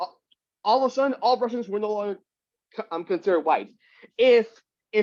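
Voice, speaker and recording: Though his pace is very fast, a man with a high pitch and ordinary pitch variation leaves long, frequent pauses. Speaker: book club member. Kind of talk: casual chat. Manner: halting, many repeated words.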